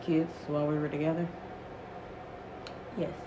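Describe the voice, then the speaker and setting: A woman whispers over noticeable background noise. Room echo can be heard. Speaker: storytime vlogger. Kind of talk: casual storytelling. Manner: whispering.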